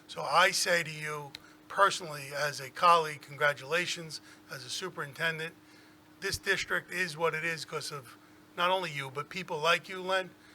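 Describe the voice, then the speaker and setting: With a New York accent, a man speaks at a fairly high pitch in a bright, sharp tone, with fairly even intonation. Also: moderate pace, big swings in loudness. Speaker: school superintendent. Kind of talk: tribute speech at board meeting. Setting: public board meeting.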